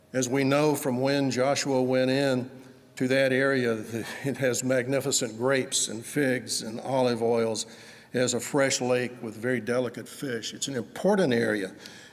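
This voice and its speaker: A man with a Southern US accent talks at medium pitch and moderate pace with fairly even intonation in a room with audible echo. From US South, Georgia. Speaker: preacher. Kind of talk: sermon.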